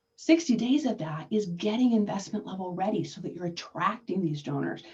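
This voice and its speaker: Her lively intonation and vocal fry stand out as a woman of medium pitch talks at a fairly quick pace, with big swings in loudness. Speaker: fundraising consultant. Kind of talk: webinar presentation. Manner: fast; animated.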